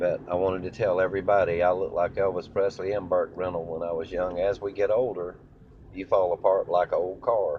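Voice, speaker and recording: A man with a Southern US accent at a fairly quick pace. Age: 60s. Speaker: impersonator of country singers. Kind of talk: casual monologue to camera. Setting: in a car.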